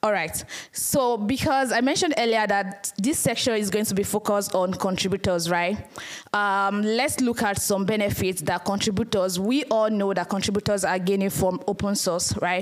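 A woman with a Nigerian accent keeps her loudness very even and her pitch variation ordinary. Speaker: community manager and conference speaker. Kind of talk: conference talk. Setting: stage with audience. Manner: fast. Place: hall.

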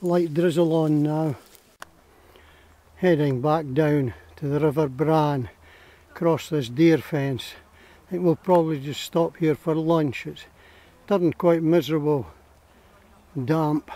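A man speaks at a fairly slow pace with fairly even intonation and long, frequent pauses. The sound is dry, with no echo. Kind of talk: casual walk commentary. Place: forest. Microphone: phone near.

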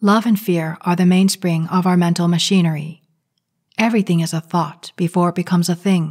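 A woman's somewhat breathy, fairly low voice moves at a fairly quick pace with monotone, flat intonation and very even loudness, recorded dry and close with no echo against a silent background. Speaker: channel creator, spiritual commentator. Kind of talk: guided meditation and spiritual commentary, reading a 1950s radio talk aloud.

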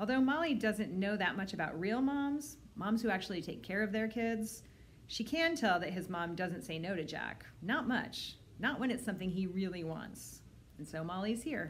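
Over light background noise, a woman talks with lively intonation and a somewhat breathy voice. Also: moderate pace. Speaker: librarian. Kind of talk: children's book read-aloud. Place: home room. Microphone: phone near.

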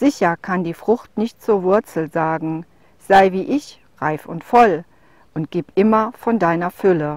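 In a solemn tone, a woman speaks very slowly at a medium pitch with lively intonation, the sound dry and close with no echo. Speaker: poetry reader. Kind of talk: reading aloud of a literary prose poem, calm and contemplative. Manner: slow, measured, soft-spoken, meditative; formal, solemn with deliberate pauses.

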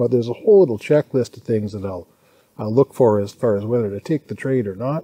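The man's voice has a dark, mellow tone. His intonation is lively. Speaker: day trader vlogger. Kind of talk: casual vlog chat. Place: garden. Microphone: phone near.

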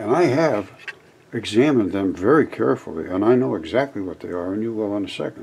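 Light background noise accompanies a man whose intonation is lively. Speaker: channel host. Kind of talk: commentary. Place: home room.

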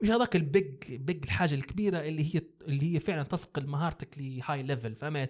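Against a quiet background, a man with a Libyan accent and a fairly high pitch talks at a fairly quick pace with hardly any pauses, sounding somewhat breathy. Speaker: graphic designer; podcast guest or host. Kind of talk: casual interview; interview answer. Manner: halting with many fillers. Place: studio. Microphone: studio mic.

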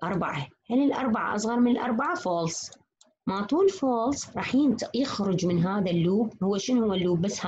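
With an Iraqi accent, the voice sounds somewhat breathy at a moderate pace. Its pitch swings very widely. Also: woman. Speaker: university lecturer. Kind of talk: lecture.

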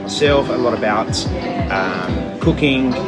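A man at a fairly slow pace with loud music in the background. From Adelaide, South Australia. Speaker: chef and restaurant owner. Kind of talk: interview answer. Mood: calm, reflective. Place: cafe. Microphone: phone near.

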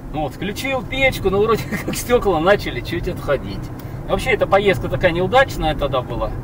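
A man at a fairly quick pace with very wide pitch swings, dry sound with no echo, and noticeable background noise. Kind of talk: casual driving commentary. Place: car. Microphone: camera far.

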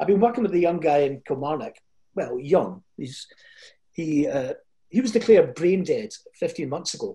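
In a Scottish accent, a man speaks at a moderate pace with a high pitch, a dark, mellow tone, lively intonation and long, frequent pauses over a quiet background. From Scotland, Fife (Kirkcaldy); Scotland. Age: 70s. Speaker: motivational speaker. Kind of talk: motivational talk. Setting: video call. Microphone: video call.

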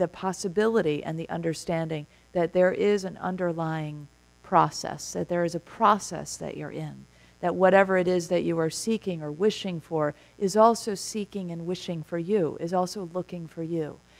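Fairly even intonation and a moderate pace in an unremarkable speaking voice. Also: woman, fairly low pitch for a woman. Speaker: minister giving a talk. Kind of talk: sermon. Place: church.

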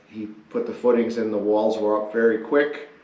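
A man's voice comes with clearly audible room echo. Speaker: channel host. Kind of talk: casual project narration. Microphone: camera far.

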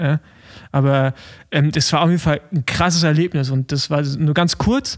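Dry and close with no echo, the recording captures a man in a normal speaking voice with a fairly high pitch, fairly even intonation and a moderate pace. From Rostock, eastern Germany. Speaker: podcast co-host, former pro cyclist. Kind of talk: casual chat.

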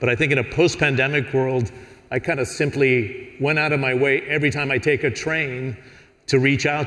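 In an ordinary speaking voice, a man talks at a fairly quick pace with a medium pitch and fairly even intonation. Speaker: panel moderator. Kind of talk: moderated panel discussion. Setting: stage with audience. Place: stage. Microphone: headset.

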